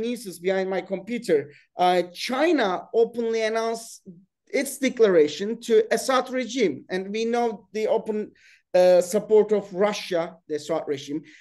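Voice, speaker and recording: Over a quiet background, a man with a Turkish accent speaks at a fairly slow pace in a high voice with a dark, mellow tone and ordinary pitch variation. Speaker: webinar host and political science professor. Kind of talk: panel discussion moderation. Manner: halting.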